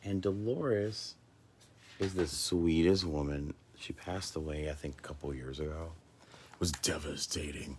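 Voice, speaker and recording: A man speaks in a very deep, low, somewhat breathy voice. His pace is moderate, with long, frequent pauses. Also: ordinary pitch variation. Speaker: spiritual coach and light worker. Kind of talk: casual livestream monologue. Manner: halting.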